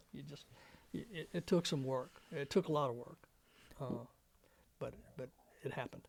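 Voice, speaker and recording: A man with an Alabama accent speaks at a moderate pace and fairly high pitch, somewhat breathy, with ordinary pitch variation and long, frequent pauses. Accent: Southern US (Alabama). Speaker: war veteran. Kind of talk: oral history interview. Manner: halting.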